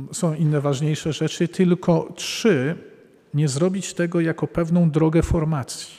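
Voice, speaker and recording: At a fairly slow pace, a man speaks with high pitch and fairly even intonation. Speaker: Jesuit priest and psychotherapist. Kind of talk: public talk answering audience questions. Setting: live event with audience.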